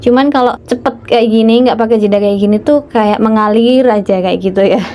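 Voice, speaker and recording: Fairly high-pitched woman at a fairly quick pace with fairly even intonation, over noticeable background noise. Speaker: housewife vlogger. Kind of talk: casual vlog monologue. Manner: fast, no pauses; talks too fast, tongue-tied.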